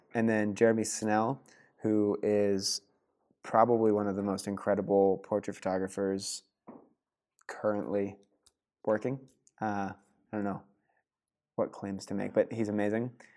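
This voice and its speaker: On a very clean recording with a silent background, a man with an American accent speaks in a fairly low, dark, mellow voice, monotone and flat, at a moderate pace with long, frequent pauses. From southeastern Pennsylvania. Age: 20s. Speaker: photographer and designer. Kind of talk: casual interview.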